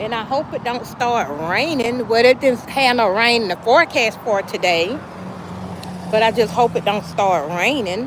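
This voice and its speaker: Over noticeable background noise, a woman with a Southern US accent speaks at a moderate pace, her fairly high voice full of lively intonation. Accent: country Southern. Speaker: small business owner livestreaming sales. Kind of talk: casual livestream chat. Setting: outdoors at a sales stand.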